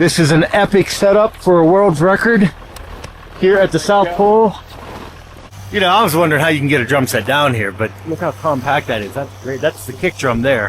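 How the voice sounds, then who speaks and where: Over noticeable background noise, a man with an American accent talks at a fairly quick pace. His fairly high voice swings very widely in pitch. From US, Pittsburgh area. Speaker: travel show host. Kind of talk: casual chat. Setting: outdoors. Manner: animated.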